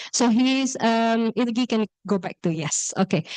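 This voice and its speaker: Here a woman speaks with an Indonesian accent at a fairly high pitch. The sound is dry and close with no echo, over a quiet background. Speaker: workshop moderator. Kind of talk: event introduction. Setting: classroom with audience, also on Zoom. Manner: hesitant, many fillers.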